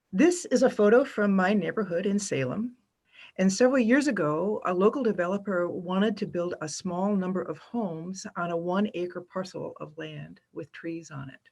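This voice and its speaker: This woman has a plain, everyday voice at medium pitch, speaking at a moderate pace with ordinary pitch variation and big swings in loudness in a very clean recording with a silent background. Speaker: keynote speaker on urban forestry. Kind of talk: keynote presentation.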